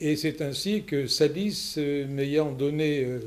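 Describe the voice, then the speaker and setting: A man with a fairly high pitch talks at a very slow pace. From Lot, southwest France. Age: 70s. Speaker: local election candidate, former deputy mayor. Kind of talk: self-introduction. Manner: formal.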